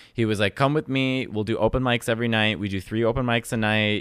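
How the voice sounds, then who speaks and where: Speaking fairly quickly with a Chicago accent, a man keeps a medium pitch and fairly even intonation in a dry, close recording with no echo. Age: 30s. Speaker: comedian. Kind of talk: casual chat. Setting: studio.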